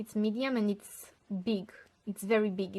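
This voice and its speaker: The speaker is a woman with medium pitch. Her intonation is monotone and flat. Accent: non-native. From Romania. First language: Romanian. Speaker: tarot and rune card reader. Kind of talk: online divination reading. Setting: on camera, filmed video. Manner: halting, searching for words.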